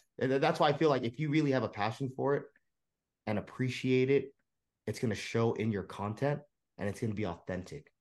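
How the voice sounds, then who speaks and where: A man with an American accent at medium pitch, a fairly quick pace, ordinary pitch variation and long, frequent pauses. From San Francisco, US. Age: 30s. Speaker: card collector and content creator. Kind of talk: casual chat.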